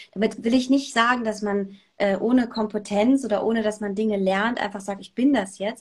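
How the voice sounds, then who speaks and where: Somewhat breathy and fairly high in pitch, a woman speaks with fairly even intonation and hardly any pauses. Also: moderate pace. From Germany, Saarland. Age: 30s. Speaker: radio presenter and journalist. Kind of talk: casual interview. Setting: video call.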